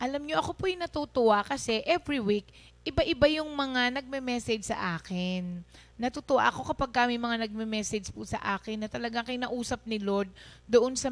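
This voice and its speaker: The woman's pitch is fairly high. She speaks at a fairly quick pace. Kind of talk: preacher delivering a sermon. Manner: loud, forceful preaching.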